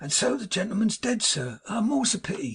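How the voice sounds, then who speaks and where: A man puts on a character voice that is husky and raspy, pitched high for a man. His pitch swings very widely and his pace is fairly quick. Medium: read story. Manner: fussy, gushing.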